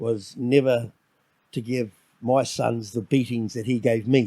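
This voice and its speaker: With a dark, mellow tone, a man speaks in a medium pitch at a fairly slow pace. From New Zealand, Auckland. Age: 50s. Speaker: solo dad. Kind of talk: podcast interview. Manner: halting.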